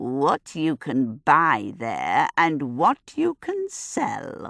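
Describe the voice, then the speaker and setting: Putting on a character voice, a woman croaks along at a very slow pace in a very deep, low pitch. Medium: read story. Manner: cryptic, teasing.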